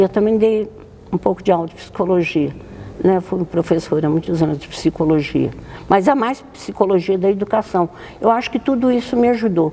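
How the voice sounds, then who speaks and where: Amid noticeable background noise, a woman with a medium pitch speaks at a moderate pace. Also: lively intonation. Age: 90s. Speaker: nun. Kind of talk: interview.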